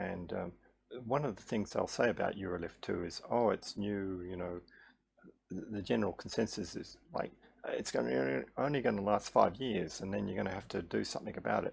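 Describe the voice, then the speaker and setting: Lively intonation with vocal fry. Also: man, fairly low pitch for a man. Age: 60s. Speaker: health vlogger sharing patient experience. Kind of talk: casual explanatory monologue. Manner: hesitant, many fillers and restarts.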